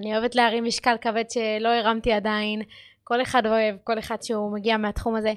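A woman talks at a fairly high pitch and fairly quick pace. Her intonation is monotone and flat. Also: very clean recording, silent background. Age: 20s. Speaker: podcast host and powerlifting athlete. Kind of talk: casual monologue. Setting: studio. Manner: halting.

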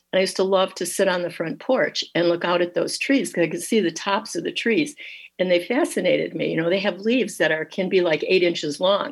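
A woman with an Upper Midwest accent talks at a fairly quick pace with lively intonation. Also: medium pitch for a woman. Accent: Upper Midwest American. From Michigan, Dearborn. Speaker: watercolor artist. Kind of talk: radio interview.

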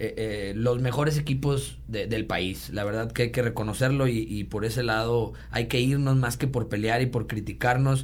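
Speech unfolds fairly slowly, its pitch rising and falling in an ordinary way amid audible room echo. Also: man. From Mexico, Monterrey. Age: 30s. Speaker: sports enthusiast and social media influencer. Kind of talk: casual chat.

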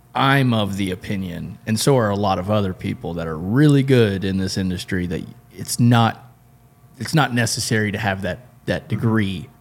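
A man with a normal speaking voice and an American accent, fairly low in pitch, with ordinary pitch variation and a moderate pace. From South Florida (Homestead). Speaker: podcast host at an engine shop. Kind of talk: casual chat.

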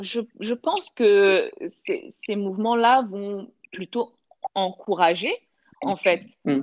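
In a dry, close sound with no echo, a woman talks at a very slow pace, leaving long, frequent pauses. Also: medium pitch for a woman, ordinary pitch variation. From South Africa, Johannesburg. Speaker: storyteller and blogger. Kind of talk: interview. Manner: hesitant, many fillers.

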